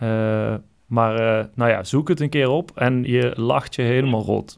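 Ordinary pitch variation marks a man's medium-pitched voice as he talks at a very slow pace. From Brabant, Netherlands. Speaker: podcast host. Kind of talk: solo podcast monologue; casual phone call. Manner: halting.

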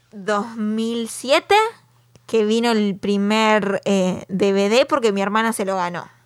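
A woman with a Uruguayan accent at fairly high pitch and very slow pace, with fairly even intonation, long, frequent pauses, and big swings in loudness. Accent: Rioplatense Spanish (Uruguay). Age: 30s. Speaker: podcast co-host. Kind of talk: casual chat.

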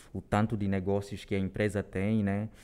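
A man's fairly low voice, dark and mellow in tone, at a moderate pace, on a very clean recording with a silent background. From Angola, Luanda. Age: 20s. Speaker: corporate trainee. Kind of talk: interview. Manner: halting.

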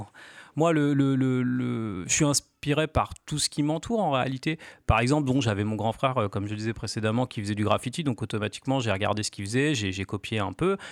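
A man speaks in a normal speaking voice at a medium pitch, with ordinary pitch variation. The recording is very clean with a silent background, and the sound is dry and close with no echo. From Normandy, France (Cherbourg). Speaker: graffiti artist. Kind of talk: radio interview.

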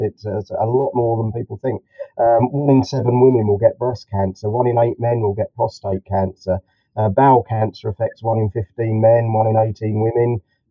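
Speaking with a southern English accent, a man keeps a medium pitch, a moderate pace and flat, monotone intonation. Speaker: clinical hypnotherapist.

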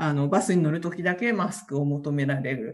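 A woman talks at a moderate pace with ordinary pitch variation, in a plain, everyday voice. The background is quiet. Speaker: community association president. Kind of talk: interview.

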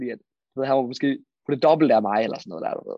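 Very fast speech from a man with a fairly high pitch. The sound is dry and close with no echo, over a quiet background. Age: 20s. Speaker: freelance marketer. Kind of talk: interview.

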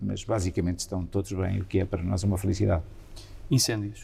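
Very deep and low in pitch, a man speaks at a fairly quick pace in a dark, mellow tone with vocal fry. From Portugal, Santa Comba Dão (Viseu district, central Portugal). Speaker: member of parliament. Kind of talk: interview.

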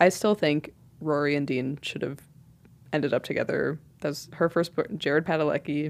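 A woman at a very deep, low pitch, moderate in pace, with fairly even intonation, on a very clean recording with a silent background. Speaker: college radio podcast co-host. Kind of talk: casual chat. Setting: studio.

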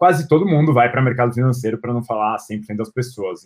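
With fairly even intonation, the man talks in a normal speaking voice at a medium pitch. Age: 20s. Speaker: marketing executive. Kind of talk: interview.

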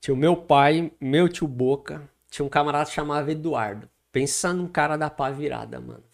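An ordinary speaking voice from a man, fairly high in pitch with fairly even intonation, at a moderate pace in a very clean recording over a silent background. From Guarulhos, São Paulo state, Brazil. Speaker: pastor. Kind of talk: casual interview with life story.

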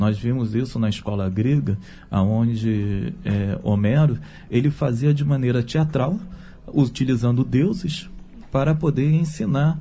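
A man talks at a fairly slow pace in a dark, mellow tone. His somewhat breathy voice has lively intonation. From Brazil, Rio de Janeiro. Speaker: theologian and writer. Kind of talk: radio panel discussion.

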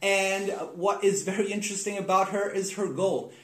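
A high-pitched male voice amid noticeable background noise and audible room echo. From South America. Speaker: podcast host. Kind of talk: casual interview chat; scripted intro.

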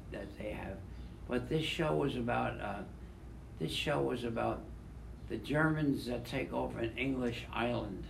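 Speaking at a fairly slow pace, a man leaves long, frequent pauses. Noticeable background noise runs underneath. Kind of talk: casual group chat.

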